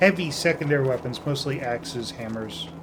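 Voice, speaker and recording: Mumbled speech over noticeable background noise. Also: man. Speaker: video game let's play commentator. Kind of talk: casual gameplay commentary. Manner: mumbling.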